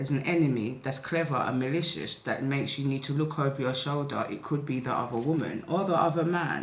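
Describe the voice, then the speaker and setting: Against audible room echo, a man with a fairly high pitch talks at a fairly quick pace with hardly any pauses and fairly even intonation. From south London (Catford). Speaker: tarot/oracle card reader. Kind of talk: psychic oracle reading, casual monologue. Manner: casual, conversational.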